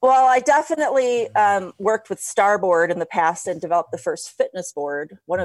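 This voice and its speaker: A woman with an American accent and an unremarkable speaking voice speaks at a moderate pace with lively intonation, in a very clean recording with a silent background and a dry, close sound without echo. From Ohio. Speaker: stand up paddleboarding pioneer and fitness coach. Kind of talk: casual chat.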